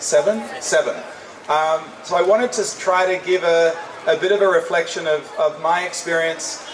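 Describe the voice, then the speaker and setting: A man with an Australian accent is heard over noticeable background noise, with audible room echo. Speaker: UN official and former naval officer, guest speaker. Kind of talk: keynote speech. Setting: hall with audience. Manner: interactive, casual.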